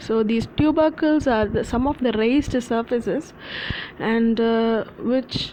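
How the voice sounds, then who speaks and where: Her loudness very even, a woman speaks slowly at a fairly high pitch with ordinary pitch variation. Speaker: anatomy tutor. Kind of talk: lecture. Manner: halting, many fillers.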